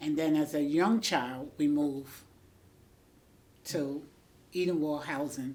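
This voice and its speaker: Speaking slowly-ish with long, frequent pauses, a woman with a New York accent has a very deep, low pitch, a dark, mellow tone, and fairly even intonation. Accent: New York City. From New York, the Bronx. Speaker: school aide. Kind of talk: interview.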